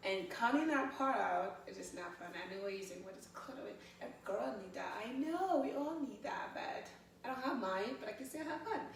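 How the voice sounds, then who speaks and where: Speaking with a West African accent in an animated tone, this voice moves at a moderate pace with very wide pitch swings and big swings in loudness, over noticeable background noise and audible room echo. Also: woman, high pitch for a woman. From Guinea, West Africa. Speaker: photographer and fitness instructor. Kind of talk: interview, life story.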